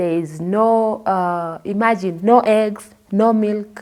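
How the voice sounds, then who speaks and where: This woman's voice sits at a medium pitch, with a dark, mellow tone and ordinary pitch variation. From Kenya. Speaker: interviewee sharing life story. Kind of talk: testimony.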